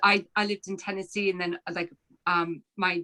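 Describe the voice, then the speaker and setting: A woman with an American accent speaks at a moderate pace in a medium pitch. Her tone is bright and sharp, with a dry, close sound and no echo. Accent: American accent, heard as a twang in Ireland. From Philadelphia, US. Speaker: novelist. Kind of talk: author talk Q&A. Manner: halting, many fillers.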